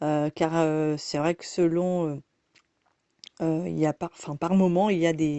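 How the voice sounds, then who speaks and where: A woman speaks fairly slowly in a very deep, low pitch, her intonation monotone and flat. Her loudness swings widely, and long pauses come often. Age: 30s. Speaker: massage therapist. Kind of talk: self-introduction monologue. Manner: halting, many hesitations.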